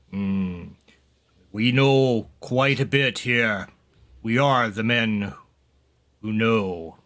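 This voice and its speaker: A man's put-on character voice at a medium pitch, very slow with long, frequent pauses, in a very clean recording with a silent background. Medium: actual play.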